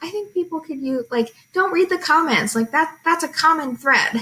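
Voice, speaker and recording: A woman speaks in a raised, projected voice at an extremely high pitch. Her tone is bright and sharp, with very wide pitch swings. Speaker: teacher. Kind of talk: tutorial.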